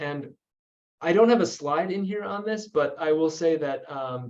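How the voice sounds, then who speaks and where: This is a plain, everyday voice at a fairly quick pace. The intonation is lively. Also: man. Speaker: energy policy researcher. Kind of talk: webinar presentation.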